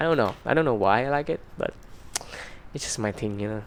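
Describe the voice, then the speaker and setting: A medium-pitched man speaks with a non-native accent. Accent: non-native English pronunciation. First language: Vietnamese. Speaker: YouTuber. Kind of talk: casual chat to camera. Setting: in front of a camera. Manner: halting, many fillers.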